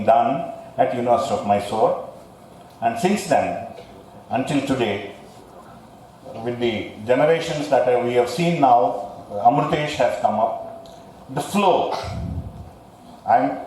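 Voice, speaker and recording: The speech moves at a very slow pace with long, frequent pauses. There is noticeable background noise. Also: man. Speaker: guest speaker giving an endowment lecture. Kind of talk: formal academic address. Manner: speaks slowly; hesitant, many pauses and fillers.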